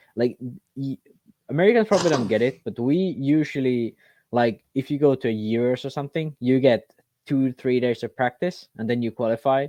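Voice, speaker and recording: Against a quiet background, a man with a non-native accent talks in a dark, mellow tone at a medium pitch. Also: ordinary pitch variation, fairly quick pace, dry, close sound with no echo. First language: not English. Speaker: RC racing podcast co-host. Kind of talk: casual chat. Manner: halting.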